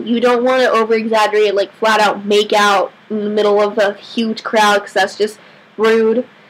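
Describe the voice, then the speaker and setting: Noticeable background noise accompanies this recording. A woman speaks at a fairly high pitch. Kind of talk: casual vlog talk to camera. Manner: stutters at times.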